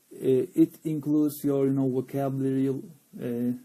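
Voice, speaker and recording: A man's very slow speech, fairly high-pitched for a man, with a dark, mellow tone and a Turkish accent. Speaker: English teacher. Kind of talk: live stream chat. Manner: halting, many fillers.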